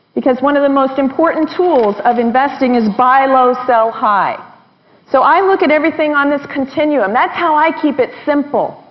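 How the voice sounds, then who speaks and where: Noticeable background noise surrounds a woman whose high-pitched voice sounds animated while her loudness stays very even. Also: ordinary pitch variation, moderate pace. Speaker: investor and financial interviewer. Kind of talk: seminar talk.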